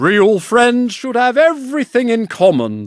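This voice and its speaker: Speaking at a fairly slow pace, a man uses a put-on character voice with an extremely high pitch. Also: ordinary pitch variation. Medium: read story. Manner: smug, sanctimonious.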